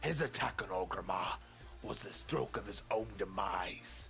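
In a put-on character voice, a man pitches his speech fairly low. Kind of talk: battle speech.

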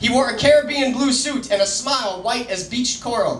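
A man's extremely high voice at a fairly quick pace, with ordinary pitch variation, audible room echo and light background noise. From Colorado. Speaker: slam poet. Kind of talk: slam poetry performance. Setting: live open mic venue. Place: bar. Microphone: camera far.

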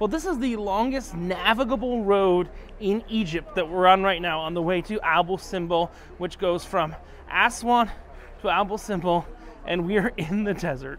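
Over light background noise, a man with a high voice talks at a moderate pace. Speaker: travel vlogger. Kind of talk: casual vlog chat. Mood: cheerful, amused. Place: cafe. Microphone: lapel.

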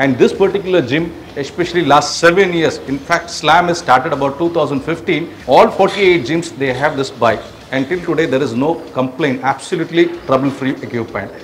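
At a fairly quick pace, the speaker uses ordinary pitch variation over light background noise. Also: man. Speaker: presenter. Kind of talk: product walkthrough. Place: gym.

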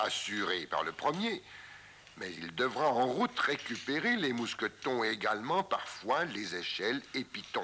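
A man speaks at a fairly slow pace in a calm tone, his medium pitch making very wide swings. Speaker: mountaineering instructor narrating. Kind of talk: 1958 documentary film narration, voice-over explaining climbing technique. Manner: calm, didactic, measured and formal; clear step-by-step instructional delivery, even pace.

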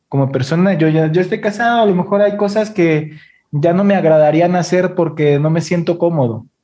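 With a dark, mellow tone, a man talks at a moderate pace in a fairly high pitch with ordinary pitch variation. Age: 30s. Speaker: podcast host. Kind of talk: casual interview. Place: studio. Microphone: studio mic.

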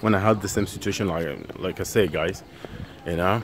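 Over light background noise, a man with a fairly low pitch speaks at a moderate pace with ordinary pitch variation. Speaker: travel vlogger. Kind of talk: casual vlog chat. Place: street. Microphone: phone near.

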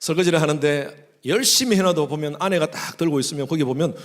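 A man with a fairly high pitch and ordinary pitch variation rushes along at a very fast pace with hardly any pauses. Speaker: pastor. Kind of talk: sermon. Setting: church.

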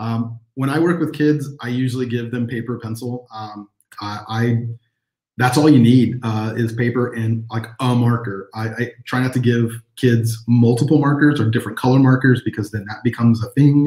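A man talks at a moderate pace in a dark, mellow, somewhat breathy voice with fairly even intonation. The background is quiet, though room echo is audible. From Texas. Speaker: illustrator and teacher; teacher. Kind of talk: live online workshop. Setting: video livestream. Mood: friendly, encouraging. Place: home room. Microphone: video call.

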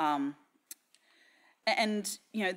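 A woman is speaking. She has an Australian accent. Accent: Australian, noticeable. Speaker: technology strategy director at a bank. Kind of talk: conference talk. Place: hall. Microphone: podium.

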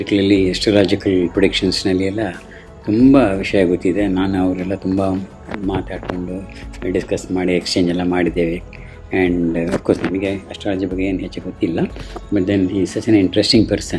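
Clear music plays in the background. Over it, a man speaks in a very deep, low pitch with monotone, flat intonation. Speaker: neighbour giving tribute. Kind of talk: tribute speech to camera about an acquaintance, Kannada mixed with English. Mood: warm, admiring. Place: home room. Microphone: phone near.

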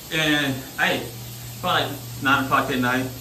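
A man with an American accent, audible room echo and light background noise. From US South, Mississippi. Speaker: vlogger. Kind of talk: casual vlog talk to camera. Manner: animated. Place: bathroom. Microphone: phone near.

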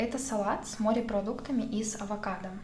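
A woman speaks at a fairly slow pace in a flat, monotone delivery, with audible room echo and light background noise. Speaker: vlogger. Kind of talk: casual vlog chat while eating. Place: home room.

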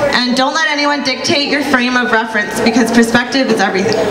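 A woman speaks in a high, raised and projected voice. Loud background noise runs behind her. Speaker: spoken word poet. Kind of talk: explaining the poem to an audience. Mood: earnest, assertive closing message. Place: stage. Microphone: handheld.

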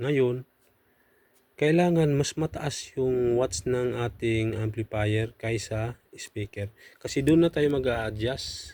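At a very slow pace, a man with a medium pitch speaks in a dark, mellow tone. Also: ordinary pitch variation. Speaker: audio equipment vlogger. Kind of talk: tutorial. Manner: halting.

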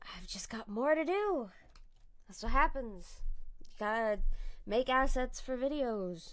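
The voice is quiet, moving at a fairly slow pace with long, frequent pauses. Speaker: streamer and artist. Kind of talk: casual chat. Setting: live stream.

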